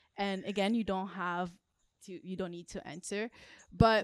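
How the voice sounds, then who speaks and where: A plain, everyday voice from a woman at medium pitch, with ordinary pitch variation, a dry, close sound with no echo, and a very clean recording with a silent background. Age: 20s. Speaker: podcast co-host. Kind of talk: casual chat.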